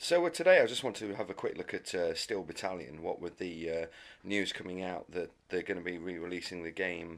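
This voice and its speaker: With fairly even intonation, a man speaks at a fairly quick pace in a very deep, low voice. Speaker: gaming video host. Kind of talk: casual product review video. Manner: hesitant, many filler uhs.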